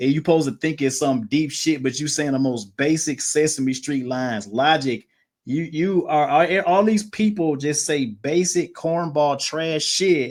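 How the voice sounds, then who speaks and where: A man with a slight Mississippi accent and a fairly high pitch speaks at a fairly slow pace with hardly any pauses. The recording is very clean, with a silent background. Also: ordinary pitch variation. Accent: Mississippi, country, slight. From US South, Mississippi. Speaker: podcast guest. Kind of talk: casual chat. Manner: animated.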